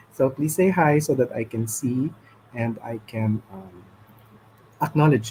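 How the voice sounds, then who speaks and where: A man with a dark, mellow, somewhat breathy voice talks at a fairly slow pace, with ordinary pitch variation and long, frequent pauses. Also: medium pitch for a man. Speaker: livestream host. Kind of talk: casual chat. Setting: live stream. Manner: halting.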